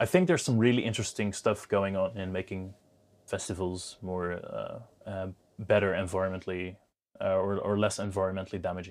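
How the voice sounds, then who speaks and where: Spoken with a Dutch accent at a fairly quick pace, the intonation is monotone and flat. It is a very clean recording with a silent background. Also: man, fairly low pitch for a man. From Netherlands. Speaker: business founder. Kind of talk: interview. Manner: halting, many fillers.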